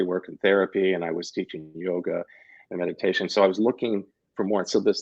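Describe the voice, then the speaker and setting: With a Midwestern American accent, the voice moves at a moderate pace in a dry, close sound with no echo. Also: man. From Missouri, Kansas City. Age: 60s. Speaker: labyrinth facilitator and yoga teacher. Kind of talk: interview, personal story. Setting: radio show. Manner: halting, many false starts.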